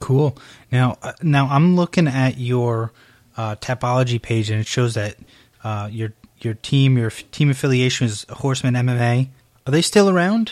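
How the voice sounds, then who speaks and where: In an ordinary speaking voice with an American accent, the speaker talks at a moderate pace with ordinary pitch variation, recorded very cleanly against a silent background with a dry, close sound and no echo. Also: man, medium pitch for a man. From upstate New York. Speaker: podcast host, MMA interviewer. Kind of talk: casual interview; solo podcast announcements.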